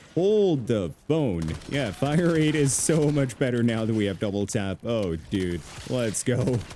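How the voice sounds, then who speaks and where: A man talks at a fairly slow pace in a medium pitch, his pitch swinging very widely while his loudness stays very even, with noticeable background noise. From Caribbean. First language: not English (multilingual). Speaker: gaming YouTuber. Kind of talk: gameplay commentary. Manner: animated.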